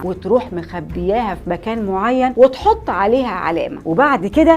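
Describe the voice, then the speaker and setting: With an Egyptian accent, a woman speaks at a moderate pace and a fairly high pitch, her pitch swinging very widely over noticeable background noise. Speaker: history storyteller host. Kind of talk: history storytelling to camera. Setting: studio.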